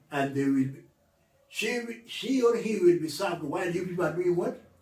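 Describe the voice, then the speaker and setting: A man speaks with a high pitch and lively intonation. There is audible room echo around his voice. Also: moderate pace. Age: 80s+. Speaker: author. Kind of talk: interview.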